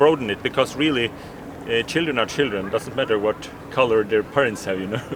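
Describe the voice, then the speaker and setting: A non-native accent comes through at a very fast pace, with ordinary pitch variation. Noticeable background noise sits behind the speech. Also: man, medium pitch for a man. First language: not English. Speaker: ex-Jehovah's Witness video blogger. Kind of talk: street interview conversation. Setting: outdoors outside a convention in London. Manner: halting, with restarts.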